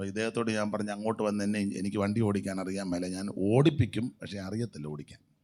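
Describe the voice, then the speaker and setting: This man's voice sits fairly low in pitch, with a dark, mellow tone and ordinary pitch variation. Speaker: pastor. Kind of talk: sermon.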